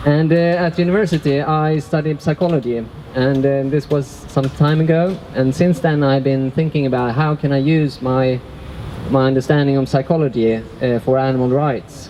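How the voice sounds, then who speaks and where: Over noticeable background noise, a man speaks at a moderate pace and fairly high pitch, with very even loudness and fairly even intonation. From Sweden. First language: Swedish. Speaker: workshop facilitator. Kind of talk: workshop talk. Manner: halting.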